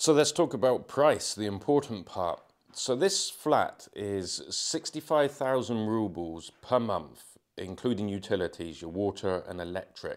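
Against a quiet background, a man with an English accent speaks fairly slowly with lively intonation. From England. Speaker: travel vlogger. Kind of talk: walking tour vlog. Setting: walking through building, partly outdoors. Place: home room.

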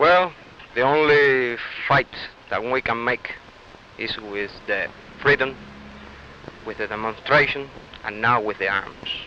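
A man with a Cuban accent speaks at a fairly slow pace and medium pitch, with ordinary pitch variation and long, frequent pauses. Light background noise is present, and the sound is dry with no echo. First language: Spanish. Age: 20s. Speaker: Cuban exile student. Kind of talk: TV news interview answers, earnest and political. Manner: earnest, emphatic, halting English. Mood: earnest, impassioned. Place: street. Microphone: handheld.

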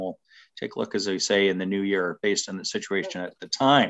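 A normal speaking voice moves at a fairly quick pace against a quiet background. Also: man. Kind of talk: formal meeting chairing. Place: home room. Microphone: video call.

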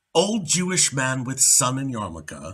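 With a bright, sharp tone and vocal fry, a man talks at a fairly slow pace while his pitch swings very widely. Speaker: actor. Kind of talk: poetry reading. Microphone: webcam.

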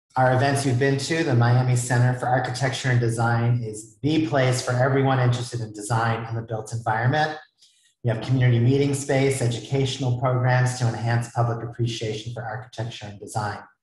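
Delivered at a fairly quick pace in a monotone, flat intonation, the voice carries an audible room echo over a quiet background. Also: man. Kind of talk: event introduction remarks. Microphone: earbuds.

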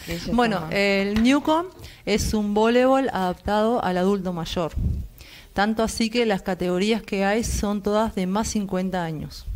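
At a fairly slow pace, a woman with an unremarkable speaking voice talks at a medium pitch with ordinary pitch variation over light background noise. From Uruguay. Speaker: volleyball coach for older adults. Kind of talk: live TV interview. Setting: TV studio. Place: studio.

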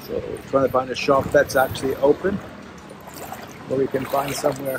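A man is heard over loud background noise. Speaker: travel vlogger. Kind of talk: casual vlog chat. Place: street. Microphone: phone near.

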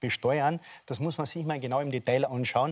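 A man speaks with fairly even intonation at a fairly high pitch. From Austria. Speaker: politician. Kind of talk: heated debate. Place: studio.

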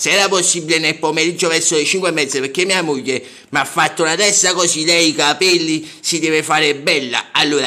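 Words come at a very fast pace with fairly even intonation. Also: man. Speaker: caller. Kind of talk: phone prank conversation. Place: home room. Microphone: phone near.

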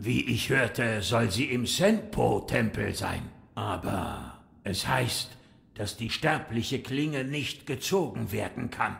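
At a fairly slow pace, a man speaks with a medium pitch. His intonation is lively. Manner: calm, sage-like.

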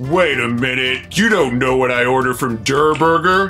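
A put-on character voice at a low-to-middle pitch moves at a moderate pace, with clear music in the background. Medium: machinima. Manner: laid-back, dry.

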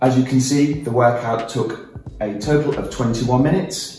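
At a moderate pace, the speech comes through with audible room echo and faint music in the background. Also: man. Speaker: fitness trainer. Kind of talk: fitness vlog presentation. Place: kitchen.

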